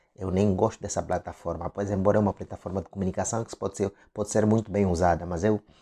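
With a fairly low pitch, a man talks in a dark, mellow tone. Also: quiet background. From Angola. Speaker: online commentator. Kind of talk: political commentary monologue. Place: home room. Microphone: lapel.

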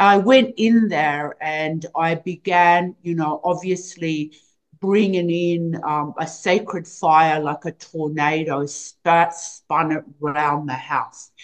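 Against a quiet background, a woman with a fairly low pitch speaks at a very slow pace with ordinary pitch variation. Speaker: remote guest. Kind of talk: interview answer. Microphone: video call.

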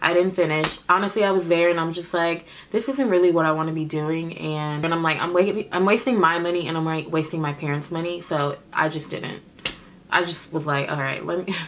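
With an American accent, a woman speaks at a fairly quick pace in a fairly low pitch with ordinary pitch variation, light background noise behind her. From Oakland, California. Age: 20s. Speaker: beauty vlogger, makeup artist. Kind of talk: casual Q&A vlog. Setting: home video recording. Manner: chatty, informal. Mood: relaxed, candid, humorous.

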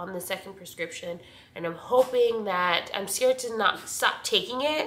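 In a room with audible echo, a woman speaks with a nasal, fairly bright tone.

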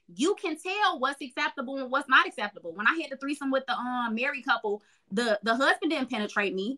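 Raised and projected, a woman's high, bright, sharp voice with an American accent moves at a fairly quick pace with lively intonation and hardly any pauses against a quiet background. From Chicago. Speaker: sexologist and podcast host; podcast host. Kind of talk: casual chat. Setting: video call. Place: home room. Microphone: video call.

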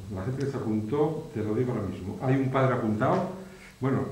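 A man's fairly quick speech with audible room echo. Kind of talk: interview answer. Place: classroom.

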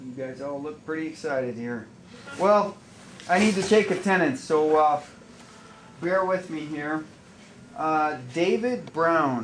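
A man talks with lively intonation and long, frequent pauses over light background noise. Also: fairly slow pace. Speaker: teacher. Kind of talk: classroom talk taking attendance. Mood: wry, mildly joking. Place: classroom. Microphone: camera far.

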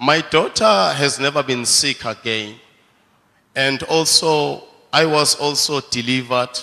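Over a quiet background, a man speaks at a fairly slow pace with a fairly high pitch. His tone is bright and sharp, and his pitch varies in an ordinary way. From South Africa. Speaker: church member. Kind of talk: testimony. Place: church. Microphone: handheld.

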